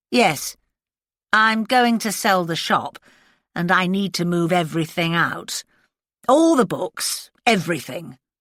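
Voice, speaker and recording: In a put-on character voice that is raspy and rumbling, a woman speaks at a fairly slow pace with lively intonation, medium pitch and long, frequent pauses, on a very clean recording with a silent background. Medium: read story. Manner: curt, grumbling.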